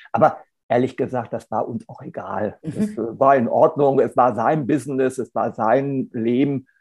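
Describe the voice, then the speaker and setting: A man speaks with a normal speaking voice at medium pitch and ordinary pitch variation. His loudness swings widely. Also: fairly slow pace. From Hannover, northern Germany. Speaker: lawyer and sustainability consultant. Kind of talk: interview.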